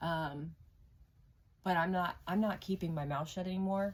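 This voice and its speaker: With fairly even intonation, this voice comes across as somewhat breathy. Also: woman. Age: 40s. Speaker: tarot reader. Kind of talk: personal testimony. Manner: hesitant, many fillers.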